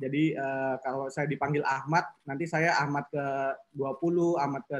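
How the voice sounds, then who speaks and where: This man speaks at a moderate pace in a fairly high pitch. His intonation is monotone and flat. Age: 20s. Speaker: business trainer on personality types. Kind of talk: online class lecture. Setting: video call. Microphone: video call.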